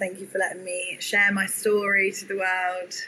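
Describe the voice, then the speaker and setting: A woman with a southern English accent talks at medium pitch and a moderate pace. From southern England, near London. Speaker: tech startup founder. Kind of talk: interview.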